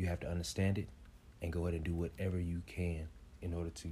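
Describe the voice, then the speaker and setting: A man with an American accent talks at a very fast pace in a very deep, low voice that is dark, mellow and somewhat breathy. His intonation stays fairly even. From Kansas City, Kansas (Wyandotte County). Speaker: motivational speaker and real estate investor. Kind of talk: casual interview.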